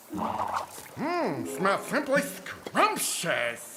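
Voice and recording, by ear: A cartoonish character voice sits at a fairly high pitch. Background noise is clearly audible.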